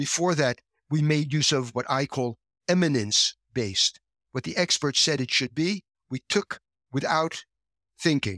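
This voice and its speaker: A man speaks at a fairly slow pace with long, frequent pauses, fairly high in pitch, in a bright, sharp, passionate, animated tone with lively intonation, on a very clean recording with a silent background and a dry, close sound with no echo. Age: 70s. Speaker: educational psychology researcher, professor emeritus. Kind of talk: explanatory interview answers. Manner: passionate, animated, opinionated.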